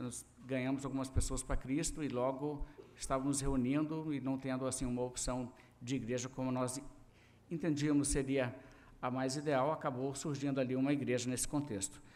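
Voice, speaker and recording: In a Minas Gerais accent, a man speaks at a moderate pace and medium pitch with monotone, flat intonation, with audible room echo around him. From Brazil, Minas Gerais. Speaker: pastor. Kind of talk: sermon. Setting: church service.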